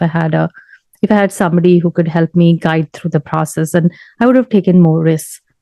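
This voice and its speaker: At a fairly quick pace, a woman with an ordinary speaking voice talks at a fairly low pitch with ordinary pitch variation. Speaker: software tester. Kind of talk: casual talk to camera.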